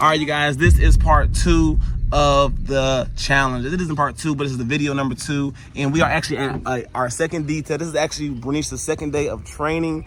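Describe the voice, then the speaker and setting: Monotone, flat delivery at a fairly quick pace, over noticeable background noise. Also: man, fairly high pitch for a man. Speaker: marketing coach and detailing business owner. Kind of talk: casual vlog tutorial. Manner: fast.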